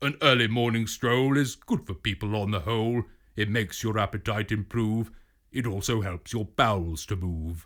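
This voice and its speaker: A man performs a put-on character voice at a fairly low pitch and a moderate pace. The recording is very clean, with a silent background. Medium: read story. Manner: bluff, exclamatory.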